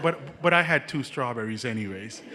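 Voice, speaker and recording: With a Jamaican accent, a man speaks with lively intonation over noticeable background noise. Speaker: nursing student. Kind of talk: casual talk at event.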